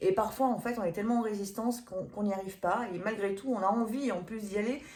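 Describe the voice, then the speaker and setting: A woman speaks at a very fast pace with ordinary pitch variation. Audible room echo surrounds her voice. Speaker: medium and energy healer. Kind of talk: event promotion; tarot reading video. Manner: hesitant, many fillers.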